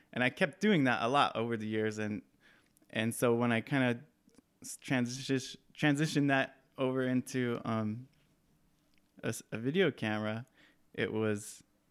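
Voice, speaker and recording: Long, frequent pauses break up a man's moderate pace. His pitch is medium with ordinary variation, and the recording is very clean with a silent background. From Southern California, Mojave Desert. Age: 30s. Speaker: filmmaker. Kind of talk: casual chat. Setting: at his childhood home.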